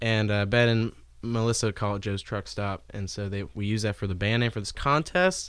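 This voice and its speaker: A man with an American accent speaks at a fairly quick pace in a normal speaking voice, with ordinary pitch variation, on a very clean recording with a silent background. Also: fairly low pitch for a man. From Cincinnati area, Ohio. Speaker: musician, singer-songwriter. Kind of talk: casual chat.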